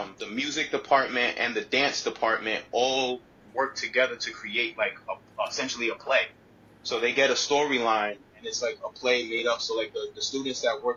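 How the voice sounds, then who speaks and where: The man's speech unfolds at a moderate pace while noticeable background noise runs underneath. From Providence, Rhode Island. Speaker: actor, poet, storyteller. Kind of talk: interview answer. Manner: casual, relaxed.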